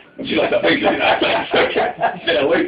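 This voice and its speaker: Noticeable background noise fills the clip as a man speaks at a fairly slow pace. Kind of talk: comic poetry reading with chat to a live audience. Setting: live event in a tea room.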